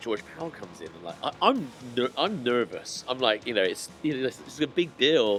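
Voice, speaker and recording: A man with a Bristol accent speaks at a fairly quick pace while music plays in the background. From Bristol, England. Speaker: skateboard distributor. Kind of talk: podcast interview answer. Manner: casual, chatty.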